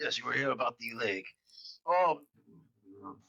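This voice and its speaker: Putting on a raspy character voice, a man speaks at a moderate pace with a fairly high pitch, the sound dry and close with no echo. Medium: actual play. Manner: rambling, distracted, loses his train of thought.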